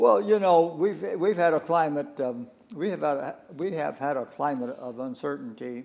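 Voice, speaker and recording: A man with a West Coast American accent speaks at a moderate pace, his pitch fairly high. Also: lively intonation. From Southern California. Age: 90s. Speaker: war-era internment survivor sharing memories. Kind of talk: interview, oral history. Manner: halting, many repetitions and fillers.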